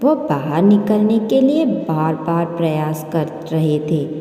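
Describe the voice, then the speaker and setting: There is a clear echo around a woman's voice. She speaks at a moderate pace with a fairly low pitch. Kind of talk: motivational story narration. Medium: read story. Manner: earnest, preachy, encouraging.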